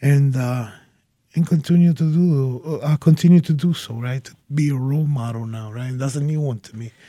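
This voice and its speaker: A man talks at a moderate pace with a fairly high pitch. His tone is dark and mellow, and somewhat breathy. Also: ordinary pitch variation, big swings in loudness. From Puerto Rico, later Yonkers NY and Springfield MA. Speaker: former prisoner, now sheriff's department staff. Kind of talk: interview. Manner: halting, repeats words.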